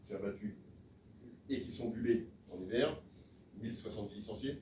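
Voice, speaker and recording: At a moderate pace, a man speaks with a somewhat breathy, dark, mellow tone, and the room echo is audible. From Alsace, France. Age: 60s. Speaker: sports federation official, election candidate. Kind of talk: campaign speech at meeting. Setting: meeting room with audience, filmed. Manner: hesitant, many filler sounds.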